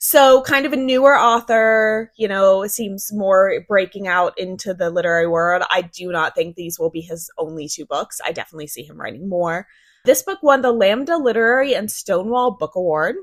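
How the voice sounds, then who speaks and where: An ordinary speaking voice from a woman at medium pitch, lively in intonation, moderate in pace with hardly any pauses and big swings in loudness, in a very clean recording with a silent background. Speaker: podcast host. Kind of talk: casual chat.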